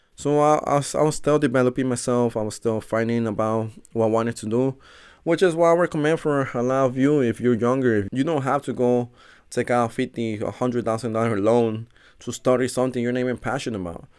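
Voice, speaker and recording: In a Spanish accent, a man talks at a fairly quick pace with medium pitch. The recording is very clean, with a silent background. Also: ordinary pitch variation. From Mexico, raised in Chicago from age seven. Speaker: personal trainer and podcast host. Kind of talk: solo podcast monologue.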